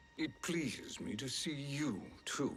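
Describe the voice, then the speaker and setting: A put-on character voice at a low-to-middle pitch and fairly slow pace, over clear background music. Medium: video game. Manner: smooth, ironic.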